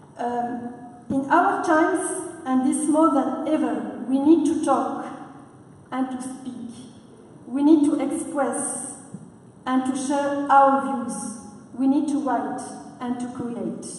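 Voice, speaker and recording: A woman in a non-native accent with a high pitch, fairly even intonation, a very slow pace, and long, frequent pauses, amid noticeable background noise and audible room echo. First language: not English. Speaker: conference speaker. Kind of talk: prepared speech. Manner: halting, frequent uh.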